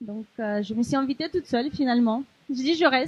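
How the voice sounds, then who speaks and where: A woman with a high pitch at a moderate pace. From Ukraine. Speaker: volunteer. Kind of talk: testimony. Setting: café event with audience. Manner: hesitant.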